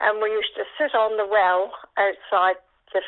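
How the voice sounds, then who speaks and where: In a West Country accent, a woman talks at a fairly slow pace in a medium pitch. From Dorset, England. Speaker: older interviewee recalling memories. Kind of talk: oral history interview. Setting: phone call.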